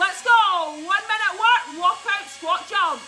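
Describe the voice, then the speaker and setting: The delivery is very slow. Music can be heard behind it. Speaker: home workout coach. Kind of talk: fitness class instruction. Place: garden. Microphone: camera far.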